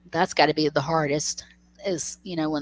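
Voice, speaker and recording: In a very clean recording with a silent background and a dry, close sound with no echo, a woman speaks at a very deep, low pitch with fairly even intonation. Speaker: crochet livestream host. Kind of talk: casual chat.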